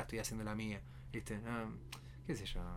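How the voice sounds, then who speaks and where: Audible room echo follows a man as he talks. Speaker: podcast co-host. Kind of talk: casual chat.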